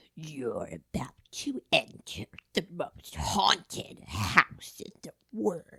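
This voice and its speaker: A put-on character voice, whispering at a very slow pace. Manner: weird, spooky impression.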